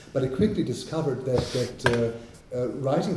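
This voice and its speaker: Spoken at a moderate pace in a German accent, the clip has noticeable background noise and audible room echo. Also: man. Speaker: poet and translator. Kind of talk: panel discussion. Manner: halting.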